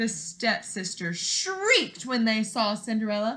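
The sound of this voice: A woman at a fairly high pitch, slow pace and big pitch swings. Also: fairly bright tone.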